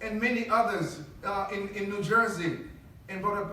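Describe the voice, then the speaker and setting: Man's raised, projected voice, with audible room echo and noticeable background noise. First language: not English; English is third language. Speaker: politician and mosque member speaker. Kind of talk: speech to congregation. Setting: mosque podium with audience. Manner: halting, with repeated fillers.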